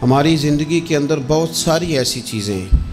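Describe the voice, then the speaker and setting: A man's speech shows ordinary pitch variation while music plays in the background. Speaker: Islamic preacher giving a sermon. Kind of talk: religious sermon (bayan). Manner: emotional, preaching, speaking with feeling.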